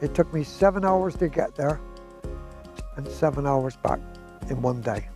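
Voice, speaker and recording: Over music in the background, a man with a fairly high pitch speaks at a moderate pace with lively intonation. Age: 70s. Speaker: hill walker. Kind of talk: interview answer.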